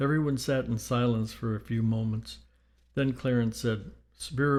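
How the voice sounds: The clip features a natural reading voice with fairly even intonation.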